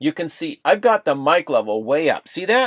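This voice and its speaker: A man talks at a moderate pace in an ordinary speaking voice, on a very clean recording with a silent background and a dry, close sound with no echo. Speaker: video editing trainer. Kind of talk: tutorial. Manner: casual.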